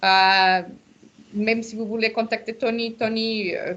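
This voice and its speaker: Someone with a non-native accent speaks at a very slow pace in a monotone, flat intonation. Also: woman. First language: not French (speaking French). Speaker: association founder leading a launch webinar. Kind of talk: webinar closing remarks. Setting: video call webinar. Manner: hesitant, many fillers.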